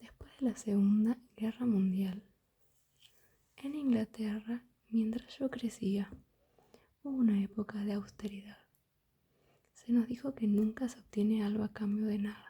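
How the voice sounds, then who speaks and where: This soft-spoken voice moves at a fairly slow pace with long, frequent pauses. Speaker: ASMR creator. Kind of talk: ASMR book reading.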